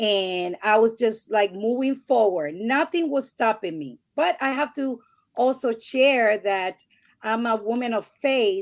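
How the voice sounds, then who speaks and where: With a Spanish accent, a woman speaks at a fairly slow pace in a fairly high pitch, her intonation lively. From Puerto Rico. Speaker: podcast guest. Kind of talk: interview testimony.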